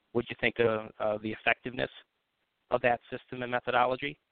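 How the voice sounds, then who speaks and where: A man with a Buffalo accent at medium pitch, very fast and monotone, flat in intonation. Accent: Western New York (Buffalo) American. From US, Buffalo, New York. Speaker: sales recruiter. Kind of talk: casual chat.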